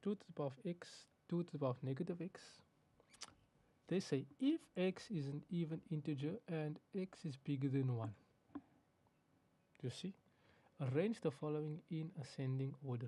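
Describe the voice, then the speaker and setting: This man has a fairly high pitch, a dark, mellow tone and a somewhat breathy quality. His pitch varies in an ordinary way, and he leaves long, frequent pauses. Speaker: maths teacher. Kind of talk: tutorial. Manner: fast.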